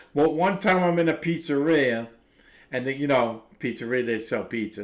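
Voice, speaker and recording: Fairly high in pitch, a man with a Brooklyn accent talks with lively intonation. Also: moderate pace. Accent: New York (Brooklyn). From Brooklyn, New York. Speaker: recovery livestreamer. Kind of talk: casual chat. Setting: live stream. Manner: halting.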